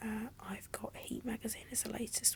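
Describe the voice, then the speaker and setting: Whispering at a moderate pace, a woman speaks with a British accent. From England. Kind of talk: ASMR magazine flip, casual chat. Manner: soft-spoken, whispery.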